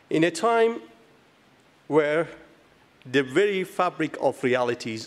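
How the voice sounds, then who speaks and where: The speaker has a Kurdish accent and lively intonation. The pace is fairly slow. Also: man. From Iranian Kurdistan. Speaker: physicist, award recipient. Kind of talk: award acceptance speech. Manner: halting.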